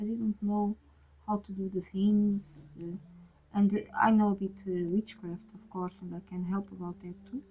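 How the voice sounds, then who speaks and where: A woman with a Portuguese accent speaks at a very slow pace in a somewhat breathy, medium-pitched voice. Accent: Portuguese-speaking, non-native English. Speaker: tarot reader. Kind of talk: casual monologue. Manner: halting, many fillers.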